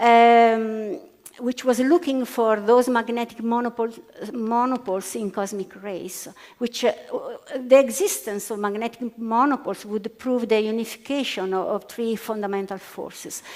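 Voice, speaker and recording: At a moderate pace, a woman with an Italian accent speaks at a fairly high pitch with ordinary pitch variation, against noticeable background noise. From Italy. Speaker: physicist. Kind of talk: panel discussion. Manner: halting, many fillers.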